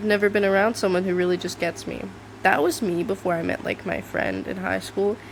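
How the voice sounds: At a fairly quick pace, a woman talks at a medium pitch with vocal fry and ordinary pitch variation.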